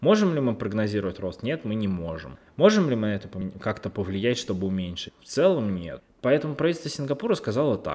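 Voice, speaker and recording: At a medium pitch, a man's voice moves through very wide pitch swings. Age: 20s. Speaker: podcast host. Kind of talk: solo podcast monologue.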